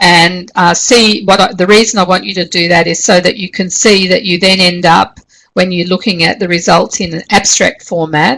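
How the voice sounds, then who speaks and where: Speaking at a moderate pace with an Australian accent, this woman has a bright, sharp tone, medium pitch and fairly even intonation. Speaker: university lecturer. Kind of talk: online class tutorial. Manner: hesitant, many fillers.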